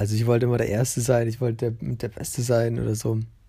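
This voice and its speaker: A man's medium-pitched, dark, mellow and somewhat breathy voice in a very clean recording with a silent background. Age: 20s. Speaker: podcast host. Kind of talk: casual monologue. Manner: hesitant, many fillers.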